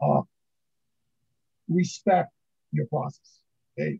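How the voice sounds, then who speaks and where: A man's fairly slow speech, dry and close with no echo. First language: not English. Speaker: book author, pharmaceutical validation expert. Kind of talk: podcast interview. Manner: halting, many fillers.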